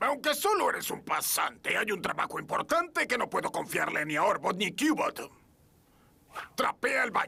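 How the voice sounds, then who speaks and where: Using a put-on character voice, a man speaks at a moderate pace in an extremely high pitch with very wide pitch swings. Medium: fan dub. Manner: pompous, theatrical.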